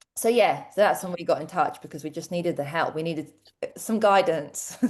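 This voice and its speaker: A woman with a London accent talks at a fairly quick pace and fairly low pitch. Her loudness swings widely, while her pitch variation is ordinary. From London, England (born in Croatia). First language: Croatian. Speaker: teacher and tutoring business owner. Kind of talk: interview.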